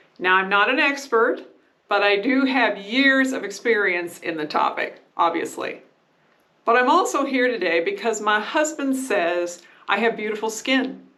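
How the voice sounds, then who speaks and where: A woman's fairly high voice with lively intonation at a moderate pace, with audible room echo. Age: 60s. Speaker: beauty and skincare vlogger. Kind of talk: casual tutorial talk to camera.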